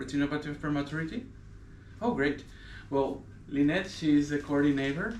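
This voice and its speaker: A man's fairly high voice at a fairly quick pace, with ordinary pitch variation and long, frequent pauses. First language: Spanish. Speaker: eye care assistant. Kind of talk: explanatory interview. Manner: halting.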